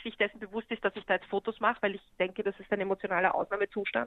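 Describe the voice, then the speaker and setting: A woman speaks at a very fast pace. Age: 40s. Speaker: photographer. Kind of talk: interview.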